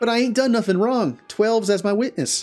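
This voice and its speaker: Putting on a character voice, a man speaks at a high pitch and a fairly quick pace, with ordinary pitch variation. His loudness stays very even while faint music plays in the background. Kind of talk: rustic, dialect. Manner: protesting innocence.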